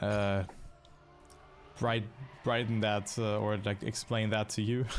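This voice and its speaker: Speaking very slowly with a German accent, a man keeps a monotone, flat intonation and very even loudness. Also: fairly low pitch for a man. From Germany, near Dutch border. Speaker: esports caster. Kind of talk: live commentary.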